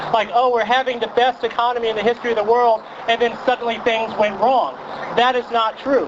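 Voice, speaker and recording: An American-accented man with an extremely high pitch, a fairly quick pace, very even loudness and noticeable background noise. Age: 30s. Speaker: journalist. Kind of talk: protest speech. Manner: animated.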